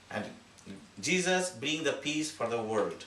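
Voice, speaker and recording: Over noticeable background noise and audible room echo, a man with a Bengali accent speaks at a fairly slow pace in a fairly high pitch with lively intonation. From Bangladesh. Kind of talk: speech at community holiday event. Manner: halting.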